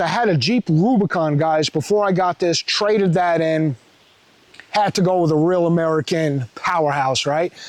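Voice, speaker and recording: A man with a New York accent speaks at a moderate pace in a high pitch, his loudness very even and the sound dry and close with no echo. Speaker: truck vlogger. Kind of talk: casual vlog walkaround. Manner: animated.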